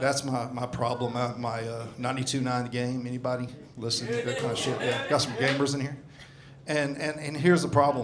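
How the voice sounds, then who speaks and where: The voice has a Southern US accent and a monotone, flat delivery at a fairly quick pace. Noticeable background noise and audible room echo are present. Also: man, medium pitch for a man. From US South. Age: 60s. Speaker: stand-up comedian. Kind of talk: stand-up. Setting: stage with audience.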